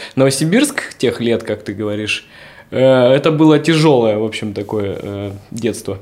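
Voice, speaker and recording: With ordinary pitch variation and a fairly slow pace, a man talks in an ordinary speaking voice. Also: medium pitch for a man. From Siberia (Novosibirsk). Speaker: streetwear brand founder and dancer. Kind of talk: casual interview. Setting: hotel suite studio.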